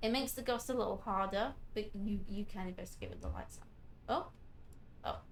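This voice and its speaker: A quiet woman's voice with vocal fry, moderate pace and ordinary pitch variation, amid audible room echo. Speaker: vtuber gamer streamer. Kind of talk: gameplay commentary.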